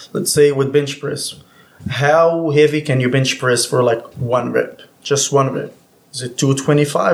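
A somewhat breathy man with a fairly high pitch, fairly even intonation and a fairly slow pace. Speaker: personal trainer.

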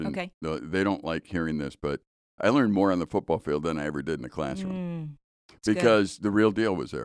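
The speaker keeps a moderate pace. The sound is dry and close, with no echo. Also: man. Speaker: ranch president, former radio broadcaster. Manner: relaxed, conversational storyteller.

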